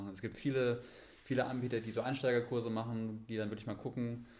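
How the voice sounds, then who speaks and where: In a monotone, flat intonation, this man moves along at a fairly quick pace. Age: 30s. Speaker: runner and sled dog sports enthusiast. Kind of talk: casual chat. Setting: physio practice, remote podcast.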